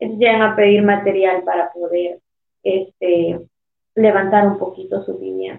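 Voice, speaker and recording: A woman's unremarkable speaking voice, medium in pitch, fairly slow, with fairly even intonation. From El Salvador. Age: 30s. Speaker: mayor. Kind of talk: interview.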